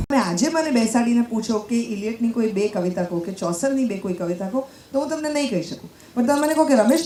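A woman speaks with a fairly high pitch and lively intonation. Noticeable background noise runs under her voice. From Gujarat. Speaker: radio jockey. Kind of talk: panel discussion.

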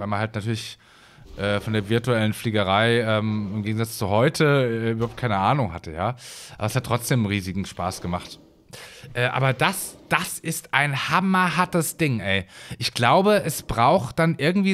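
At a moderate pace, a man speaks with very wide swings in pitch in a very clean recording with a silent background. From Hesse, Germany. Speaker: gaming YouTuber. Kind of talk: let's play commentary. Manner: casual, rambling with many fillers.

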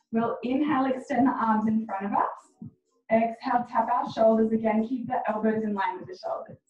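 A woman's fairly high voice at a moderate pace, with ordinary pitch variation and audible room echo. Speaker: fitness instructor. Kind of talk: guided workout class. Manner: encouraging. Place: home room. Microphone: camera far.

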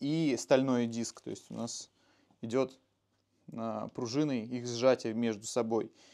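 Speaking at a very slow pace, a man has a dark, mellow tone and ordinary pitch variation. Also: quiet background. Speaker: motorcycle mechanic; motorcycle mechanic host. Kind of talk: technical explanation. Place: garage. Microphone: lapel.

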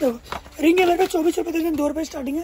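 Speaking at a very fast pace, a man has an extremely high pitch, a slightly mellow tone and ordinary pitch variation.

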